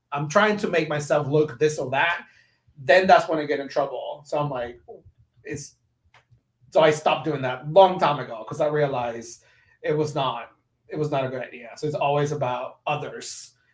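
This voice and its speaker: Somewhat breathy and fairly high-pitched, a man talks at a moderate pace, leaving long, frequent pauses. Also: ordinary pitch variation. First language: Spanish. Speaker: education technology community lead, former teacher. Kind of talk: podcast interview. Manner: animated.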